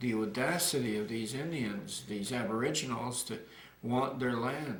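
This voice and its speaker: Through audible room echo and noticeable background noise, a man speaks at medium pitch and a moderate pace with ordinary pitch variation. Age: 60s. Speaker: retired community activist. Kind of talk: interview. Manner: halting.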